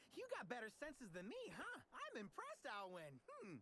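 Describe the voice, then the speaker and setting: A put-on character voice at a fairly high pitch and a moderate pace. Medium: video game. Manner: casual, upbeat, chatty.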